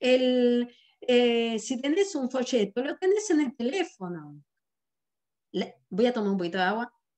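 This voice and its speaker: A woman in a Rioplatense accent, high-pitched, fairly slow, with very wide pitch swings. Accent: Argentine Rioplatense Spanish. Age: 60s. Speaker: sales director and business trainer. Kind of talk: online business training presentation. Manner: animated.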